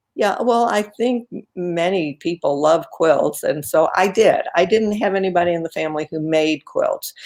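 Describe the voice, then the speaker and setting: A woman speaks at a medium pitch with ordinary variation, in a plain, everyday voice. Her pace is moderate, with hardly any pauses. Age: 60s. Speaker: quilter and author. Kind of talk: casual interview. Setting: live video stream.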